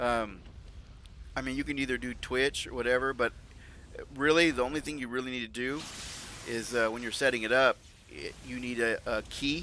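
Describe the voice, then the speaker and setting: Speaking at a moderate pace with long, frequent pauses, a man talks at a medium pitch. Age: 40s. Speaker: video game live streamer. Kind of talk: casual live stream chat while gaming. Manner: halting, frequent self-interruptions and restarts.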